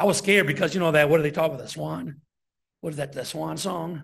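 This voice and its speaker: A man with an American accent, fairly high-pitched and with vocal fry, at a fairly quick pace. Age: 60s. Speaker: deacon preacher. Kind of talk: sermon.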